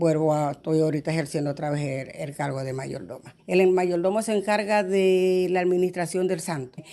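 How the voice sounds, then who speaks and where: Over noticeable background noise, a woman talks at a moderate pace with hardly any pauses. Her pitch is fairly low, with ordinary variation. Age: 60s. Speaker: religious festival organizer. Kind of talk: interview testimony.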